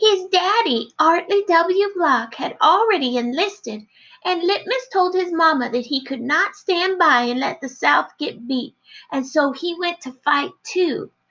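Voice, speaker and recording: She puts on a character voice, female-sounding and pitched extremely high. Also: moderate pace. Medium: read story. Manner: dramatic, repeats 'yes, ma'am'.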